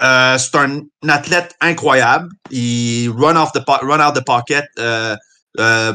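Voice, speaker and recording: Recorded very cleanly against a silent background, a man's bright, sharp voice sits at a fairly high pitch with ordinary pitch variation. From Montreal, Quebec. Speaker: football analyst. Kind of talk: casual chat.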